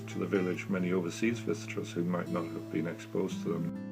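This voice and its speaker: Backed by music, a man speaks in a very deep, low pitch with lively intonation. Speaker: bookshop owner and local historian. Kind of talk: interview answer. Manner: measured, hesitant with fillers.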